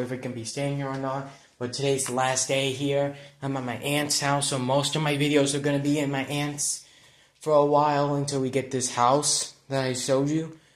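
There is audible room echo around a man's fairly high voice. His intonation is monotone and flat. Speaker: video blogger. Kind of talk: casual vlog. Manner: halting.

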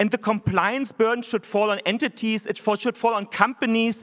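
Against a quiet background, a man with a German accent speaks at a high pitch, a moderate pace and with fairly even intonation. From Germany. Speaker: tech company executive. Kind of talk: keynote speech. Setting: stage with audience. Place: hall. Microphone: podium.

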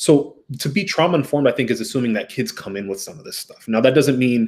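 A man speaks at a fairly quick pace with an American accent. His voice is somewhat breathy and fairly high in pitch. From US, Ethiopian American. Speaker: therapist; podcast guest. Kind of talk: casual chat.

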